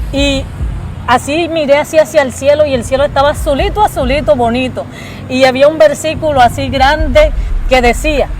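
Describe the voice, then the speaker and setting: A woman speaks in an animated tone against noticeable background noise. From Colombia, Caribbean coast (Cartagena). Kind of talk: testimony.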